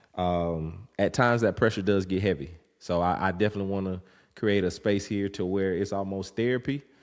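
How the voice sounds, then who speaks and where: A man with a Southern US accent speaks at a very deep, low pitch with fairly even intonation. The recording is very clean, with a silent background. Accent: Southern country. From US South, rural north Florida (Havana, Florida). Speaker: podcast host, father. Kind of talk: casual monologue. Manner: halting, many fillers.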